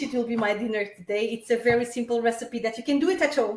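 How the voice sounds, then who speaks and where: A woman speaks with a Portuguese accent. Her pitch is high, with ordinary variation. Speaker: tour guide. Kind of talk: live cooking demonstration. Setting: home kitchen, livestream. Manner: casual, with hesitations.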